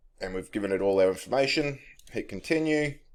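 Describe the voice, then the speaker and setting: Speaking with an Australian accent, a man uses lively intonation at a fairly quick pace. The recording is very clean, with a silent background. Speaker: tech tutorial youtuber. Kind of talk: screen-recorded tutorial. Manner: casual, with fillers.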